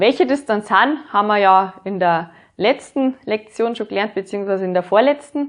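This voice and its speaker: With a Bavarian accent, a woman talks at a moderate pace and ordinary pitch variation. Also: medium pitch for a woman. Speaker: music teacher. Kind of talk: educational lesson.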